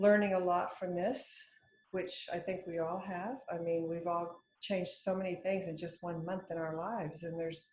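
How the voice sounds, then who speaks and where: This woman, with an American accent, has a fairly low, somewhat breathy voice. She keeps a moderate pace and a fairly even intonation. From El Paso, Texas. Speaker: hair stylist. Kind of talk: interview answer.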